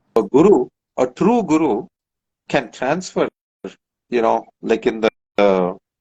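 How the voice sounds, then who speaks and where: In a Kannada accent, a man with a medium-pitched voice and vocal fry talks at a fairly slow pace with very wide pitch swings, very even loudness, and long, frequent pauses. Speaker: professor and author. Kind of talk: interview conversation. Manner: hesitant with fillers.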